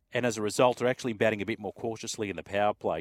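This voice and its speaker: With an Australian accent, a man talks at a very fast pace in a fairly low pitch, the sound dry and close with no echo. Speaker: sports radio host. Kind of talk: casual chat.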